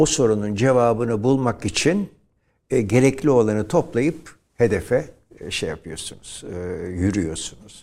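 This man speaks at a fairly slow pace with a dark, mellow tone and medium pitch. His intonation is lively, and his loudness swings widely. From Turkey, Izmir. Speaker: professor and nationalist thinker. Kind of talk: interview. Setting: studio.

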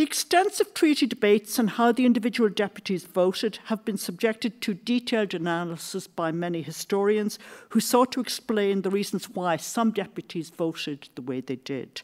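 Lively intonation marks this voice, which speaks with an Irish accent. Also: woman, medium pitch for a woman, moderate pace. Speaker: history professor. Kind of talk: lecture.

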